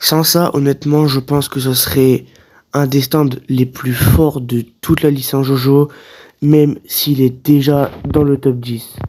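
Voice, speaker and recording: At a very slow pace, a man speaks at a fairly high pitch with monotone, flat intonation. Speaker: anime commentary YouTuber. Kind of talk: casual talk to camera. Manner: unscripted, hesitant.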